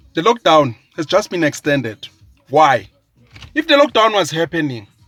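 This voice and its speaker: Over background music, a man sounds animated in a fairly high pitch, the recording dry and close with no echo. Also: lively intonation. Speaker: social commentator. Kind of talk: political rant. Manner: slow; emphatic, animated.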